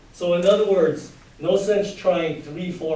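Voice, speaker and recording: At a moderate pace, a man speaks with audible room echo. Noticeable background noise is present. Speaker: high school math teacher. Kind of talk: lecture. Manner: loud.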